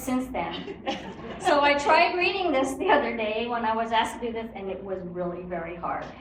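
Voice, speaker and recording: With audible room echo and noticeable background noise, a woman speaks at a moderate pace in a fairly high pitch. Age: 70s. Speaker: retired community activist. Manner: hesitant.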